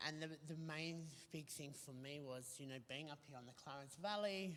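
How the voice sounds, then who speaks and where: A man speaks at a fairly quick pace. His pitch sits fairly high for a man. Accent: Australian. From Australia, New South Wales (Bathurst). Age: 40s. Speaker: recovering addict sharing lived experience. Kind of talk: interview testimony. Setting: online video show. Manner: halting, many fillers and restarts.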